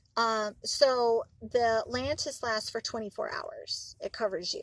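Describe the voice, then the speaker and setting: The speaker is a woman with an American accent. Her voice sounds dry and close, with no echo at all. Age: 30s. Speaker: vlogger. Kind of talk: casual vlog. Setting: in a car. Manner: halting.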